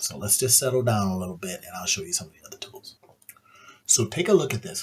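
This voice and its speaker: A man speaks in a somewhat breathy voice. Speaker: AI tools YouTuber. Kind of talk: screen-share tutorial. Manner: low-key, subdued; casual, conversational.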